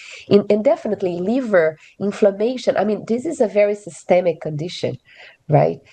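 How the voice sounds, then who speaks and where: A woman speaks with a Portuguese accent. Her pace is moderate and her pitch variation ordinary. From Brazil. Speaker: physician. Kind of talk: expert panel discussion. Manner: halting, many filler words.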